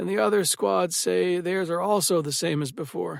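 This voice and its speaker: Using a put-on character voice, a man speaks at a moderate pace with a fairly high pitch and very wide pitch swings. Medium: read story.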